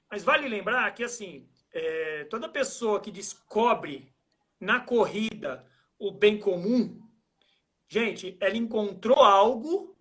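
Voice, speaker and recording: A man talks very slowly in a high voice, leaving long, frequent pauses. His loudness swings widely. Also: ordinary pitch variation. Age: 40s. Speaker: trail running athlete and coach. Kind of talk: casual interview on a live stream. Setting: Instagram live video call.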